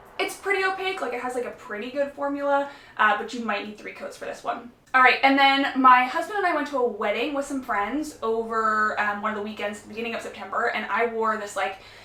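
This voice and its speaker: Over noticeable background noise and audible room echo, a woman speaks at a very fast pace in a high pitch with lively intonation. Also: big swings in loudness. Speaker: nail polish youtuber. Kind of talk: casual vlog review. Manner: chatty, many fillers.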